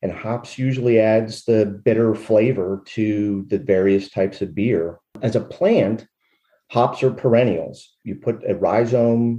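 In an American accent, the voice moves at a fairly slow pace with music in the background. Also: man. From Western Pennsylvania. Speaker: hop farmer, retired military lawyer. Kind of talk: interview.

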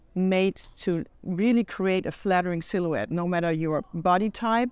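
A woman with a German accent, fairly slow in pace, with fairly even intonation. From Germany, Hamburg. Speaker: riding apparel designer and company founder. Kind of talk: interview.

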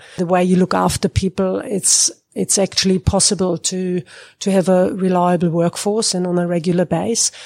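On a very clean recording with a silent background and a dry, close sound with no echo, a woman in a German accent speaks at a medium pitch with fairly even intonation and a dark, mellow tone. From Germany. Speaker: agricultural consultant. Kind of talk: interview.

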